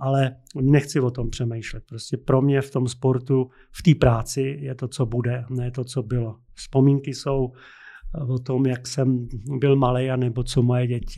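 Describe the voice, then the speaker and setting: In a dark, mellow tone, a man speaks at a fairly slow pace with a medium pitch and monotone, flat intonation. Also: quiet background. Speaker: basketball coach. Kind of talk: interview.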